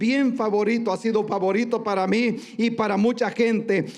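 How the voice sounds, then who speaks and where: A man with an extremely high pitch speaks at a moderate pace with fairly even intonation. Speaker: pastor. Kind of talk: sermon. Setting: church.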